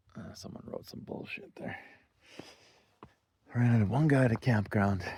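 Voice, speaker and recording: A man with an ordinary speaking voice talks at a medium pitch and moderate pace, with ordinary pitch variation and big swings in loudness. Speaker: off-road travel vlogger. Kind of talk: casual vlog narration. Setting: outdoors.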